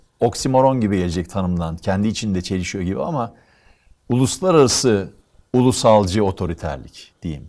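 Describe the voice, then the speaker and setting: A fairly low-pitched male voice with very wide pitch swings, over a quiet background. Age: 60s. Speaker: economist; guest. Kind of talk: interview conversation; interview answer. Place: studio.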